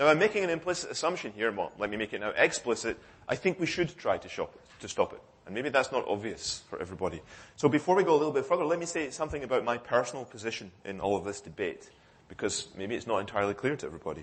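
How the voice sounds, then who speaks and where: Talking at a very fast pace, a man uses vocal fry and very wide pitch swings. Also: fairly high pitch for a man, big swings in loudness. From United Kingdom. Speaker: cryptography researcher. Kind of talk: conference talk. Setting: conference hall with audience. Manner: hesitant with fillers and self-corrections.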